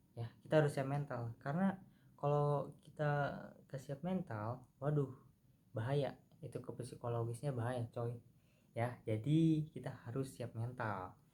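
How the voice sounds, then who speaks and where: A man's medium-pitched, somewhat breathy voice with a dark, mellow tone, ordinary pitch variation and a fairly slow pace. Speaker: university student. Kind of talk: improvised class presentation. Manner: casual, halting with fillers.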